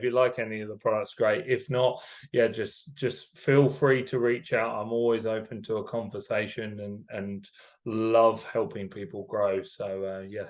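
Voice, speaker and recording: Against a quiet background, a man talks at a moderate pace with a medium pitch. His intonation stays fairly even while his loudness swings widely. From England, Cambridgeshire. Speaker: company executive. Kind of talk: podcast interview.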